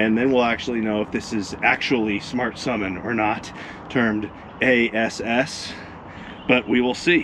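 A man at a fairly slow pace with fairly even intonation, over noticeable background noise. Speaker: tech vlogger. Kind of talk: casual vlog chat. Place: street. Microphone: phone near.

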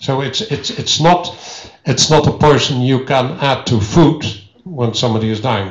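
A man with a Dutch accent speaks at a medium pitch with ordinary pitch variation. The room gives an audible echo. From Netherlands. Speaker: historian; visiting historian lecturer. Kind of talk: lecture. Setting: stage with audience. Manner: halting. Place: hall. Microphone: handheld.

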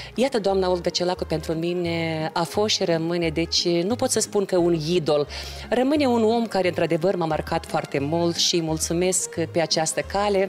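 Faint music plays in the background as a woman speaks in a fairly low voice. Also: ordinary pitch variation, moderate pace. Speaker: guest. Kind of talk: interview answer. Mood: warm, nostalgic. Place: studio. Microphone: handheld.

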